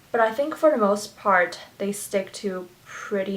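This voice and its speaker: Against a noticeable background hum of noise, a woman talks in a medium pitch. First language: Chinese. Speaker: beauty vlogger. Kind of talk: makeup tutorial chat. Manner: animated.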